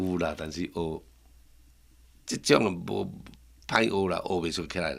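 With a Taiwanese accent, a man speaks at a fairly slow pace in a very deep, low pitch, with ordinary pitch variation and long, frequent pauses. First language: Taiwanese Hokkien (speaking Chinese). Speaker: master woodcarver. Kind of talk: casual interview chat in Hokkien.

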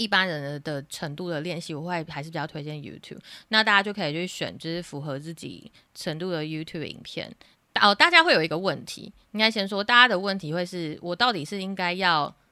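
A woman's fairly low voice, bright and sharp in tone, fairly quick, with ordinary pitch variation and big swings in loudness, on a very clean recording with a silent background. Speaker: online English teacher. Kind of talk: interview.

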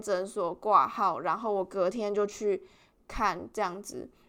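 A woman with a Taiwanese accent, fairly high-pitched, bright and sharp in tone, at a fairly slow pace, in a very clean recording with a silent background. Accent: Taiwanese Mandarin. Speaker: podcast host, international student. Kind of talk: casual solo podcast monologue.

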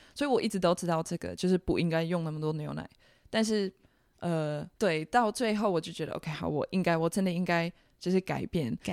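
A woman speaks at a fairly quick pace and a fairly low pitch, with ordinary pitch variation. The recording is very clean and silent behind her, dry and close with no echo. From Netherlands. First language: Dutch (speaking Chinese). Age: 20s. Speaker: cafe owner. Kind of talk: casual interview. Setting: in a cafe.

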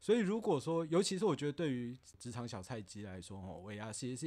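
A man talks at a very fast pace in a dark, mellow tone. His medium pitch makes very wide swings. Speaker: office worker podcast guest. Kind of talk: casual chat.

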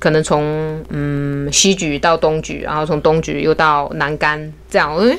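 A woman speaks at a fairly slow pace in a very deep, low pitch. Noticeable background noise is present. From Hunan, China. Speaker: beauty salon owner. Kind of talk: casual interview chat. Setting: studio.

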